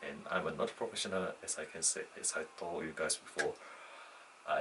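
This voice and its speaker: The speaker uses a moderate pace, with a non-native accent. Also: man. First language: not English. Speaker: student vlogger. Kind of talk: unscripted personal monologue. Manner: halting, with false starts and self-corrections.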